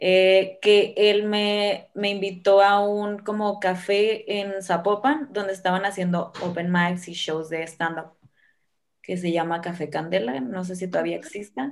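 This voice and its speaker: The recording is very clean, with a silent background. A woman with a plain, everyday voice speaks at medium pitch and a fairly slow pace, with ordinary pitch variation. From Sinaloa, Mexico (Guamúchil). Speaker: stand-up comedian and comedy producer. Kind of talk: casual interview.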